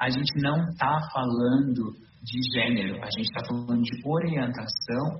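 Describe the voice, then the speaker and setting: Speech with lively intonation comes at a fairly slow pace, with audible room echo and noticeable background noise. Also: man. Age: 30s. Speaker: YouTuber, actor and public school teacher. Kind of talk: podcast conversation.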